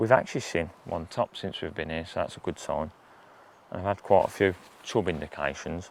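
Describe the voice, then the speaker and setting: A man speaks quietly with a very deep, low pitch. His pace is fairly quick and his pitch varies in an ordinary way. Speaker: specialist angler. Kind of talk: outdoor fishing tutorial. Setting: outdoors by a river. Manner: casual, halting with repeats; quiet, hushed.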